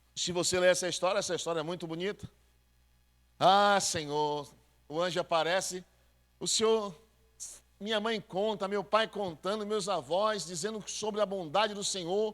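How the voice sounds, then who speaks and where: This man talks at a moderate pace in a high-pitched voice. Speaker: pastor. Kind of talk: sermon. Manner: animated.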